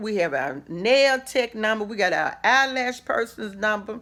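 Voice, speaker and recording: A woman talks loudly at a moderate pace, her fairly high pitch swinging very widely in an animated tone, on a very clean recording with a silent background. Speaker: minister, inspirational vlogger. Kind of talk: motivational talk.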